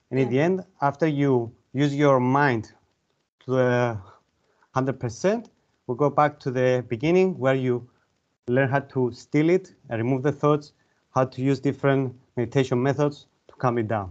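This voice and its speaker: A man with a Cypriot accent speaks at a moderate pace and medium pitch, with ordinary pitch variation and long, frequent pauses. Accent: Greek Cypriot. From Cyprus (Larnaca). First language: Greek. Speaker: mind and body coach and author. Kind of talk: interview.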